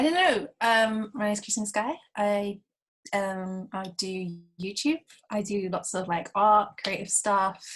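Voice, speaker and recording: Speaking at a fairly slow pace in a London accent, a woman sounds somewhat breathy, with medium pitch and ordinary pitch variation. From South London, England. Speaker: YouTuber and freelance photographer. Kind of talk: casual chat. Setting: video call.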